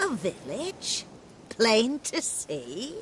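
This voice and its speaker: A woman performs a put-on character voice pitched fairly high. Clear background noise is present. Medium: video game. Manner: folksy, rustic dialect.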